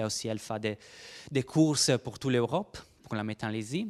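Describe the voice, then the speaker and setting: Very clean recording with a silent background and a dry, close sound with no echo. The speaker has a non-native accent, ordinary pitch variation and a moderate pace. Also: man. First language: Italian (speaking French). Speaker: research biologist. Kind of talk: conference presentation. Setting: workshop room with audience. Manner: halting.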